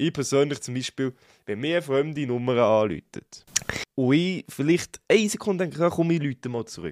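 A man with an unremarkable speaking voice and a fairly high pitch speaks at a moderate pace with lively intonation, in a dry, close sound with no echo. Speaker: podcast co-host. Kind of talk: casual chat.

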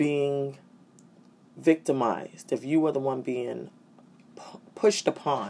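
A woman with an American accent speaks at a fairly slow pace. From New York City. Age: 40s. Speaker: podcast host. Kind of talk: solo talk. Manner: hesitant with fillers.

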